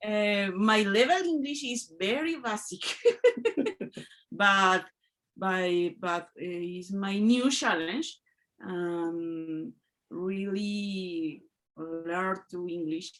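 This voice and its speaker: A woman of medium pitch speaks in a Spanish accent at a very slow pace with long, frequent pauses. The recording is very clean, with a silent background. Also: ordinary pitch variation, big swings in loudness. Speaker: English learner. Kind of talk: group discussion feedback. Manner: halting.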